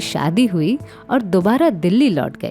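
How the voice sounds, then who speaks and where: A woman's voice with music in the background. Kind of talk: documentary biography narration.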